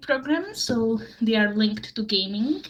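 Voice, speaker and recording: Against noticeable background noise, a woman talks with a Slovak accent. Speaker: university lecturer. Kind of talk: panel presentation. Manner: halting.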